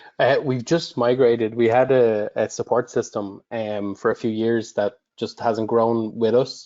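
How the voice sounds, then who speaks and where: A man with an Irish accent speaks at a medium pitch in a monotone, flat intonation. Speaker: customer support director. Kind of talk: webinar Q&A.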